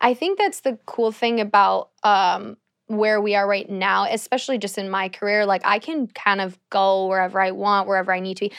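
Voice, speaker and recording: Speaking at a moderate pace, a woman uses a normal speaking voice at a medium pitch with fairly even intonation. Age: 20s. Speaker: YouTuber and actress. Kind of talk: casual chat.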